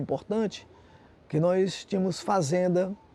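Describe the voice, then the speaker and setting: A man is speaking. His tone is dark and mellow. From Fortaleza, Ceará, Brazil. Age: 70s. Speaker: visual artist. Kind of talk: interview.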